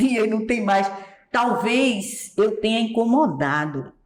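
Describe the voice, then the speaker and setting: Through noticeable background noise, a woman speaks at a fairly slow pace with ordinary pitch variation. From Pernambuco, Brazilian Northeast. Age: 70s. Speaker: singer and accordionist. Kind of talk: interview.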